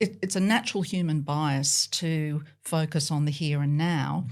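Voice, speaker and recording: On a very clean recording with a silent background, a woman with an Australian accent speaks at a fairly slow pace in a very deep, low pitch, with ordinary pitch variation. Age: 60s. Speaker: professor. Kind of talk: interview.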